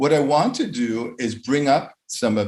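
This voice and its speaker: With an American accent, a man talks at a moderate speed in a somewhat breathy voice. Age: 50s. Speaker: conference speaker, educator. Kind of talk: lecture. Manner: hesitant, many fillers.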